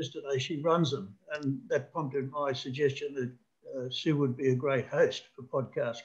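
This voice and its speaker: Against a quiet background, a man with a somewhat breathy, fairly high-pitched voice talks at a moderate pace with fairly even intonation and hardly any pauses. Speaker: webinar attendee. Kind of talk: casual chat. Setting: video call. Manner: halting. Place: home room. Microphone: video call.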